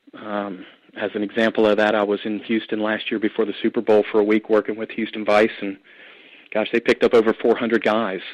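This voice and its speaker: A man with a Southern US accent talks at a fairly quick pace in a fairly low pitch. His intonation is monotone and flat, and the sound is dry and close with no echo. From US South, Atlanta, Georgia. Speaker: anti-trafficking ministry leader and trucking company owner. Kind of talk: testimony and teaching on a call-in show.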